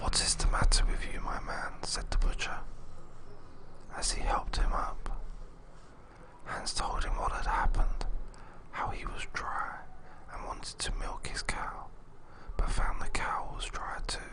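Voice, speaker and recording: Fairly slow whispering broken by long, frequent pauses, over noticeable background noise. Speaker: storyteller. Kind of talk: read story. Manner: whispered.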